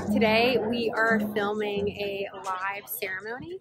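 With music in the background, a woman's voice comes through dry with no echo. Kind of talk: casual vlog chat. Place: waterside. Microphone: phone near.

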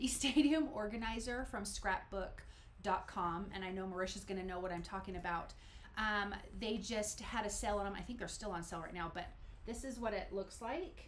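Light background noise runs under a woman's voice. She talks at a fairly quick pace with ordinary pitch variation. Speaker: card making channel host. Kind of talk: live stream crafting tutorial. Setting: home room, live stream. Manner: animated. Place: home room.

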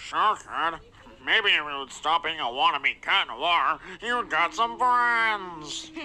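A man does a cartoonish character voice, pitched high. His delivery is fairly slow, with lively intonation. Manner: grumpy, taunting.

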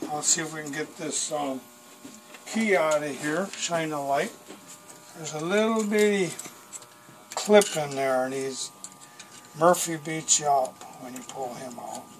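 The speaker talks at a fairly slow pace with long, frequent pauses. Light background noise can be heard. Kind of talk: tutorial. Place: workshop. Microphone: camera far.

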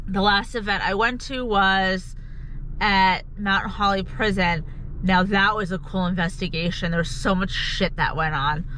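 The delivery is fairly slow with fairly even intonation. The sound is dry with no echo, over light background noise. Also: woman. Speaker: paranormal vlogger. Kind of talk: casual vlog chat. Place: car. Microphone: phone near.

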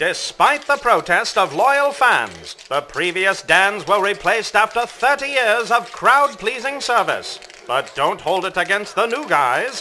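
A man's high-pitched, raised, projected voice with lively intonation at a fairly slow pace over noticeable background noise. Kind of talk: newsreel-style news report narration. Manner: polished, announcer-like delivery.

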